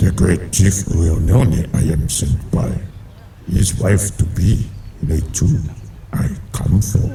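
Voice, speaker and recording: In a put-on character voice, a man speaks at a very slow pace with a very deep, low pitch, long and frequent pauses, and clear background noise. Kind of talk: stilted, reversed word order. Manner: commanding.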